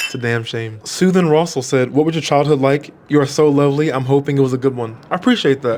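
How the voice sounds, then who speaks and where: A man with an American accent talks at a fairly quick pace and with fairly even intonation, over noticeable background noise. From US Mid-Atlantic, Maryland. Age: 20s. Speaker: content creator. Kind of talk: casual Q&A vlog. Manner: casual, halting.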